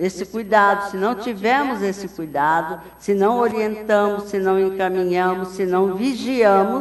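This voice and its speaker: Audible room echo surrounds a woman who talks at a very slow pace with a medium pitch. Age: 70s. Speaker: spiritist lecturer. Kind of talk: lecture.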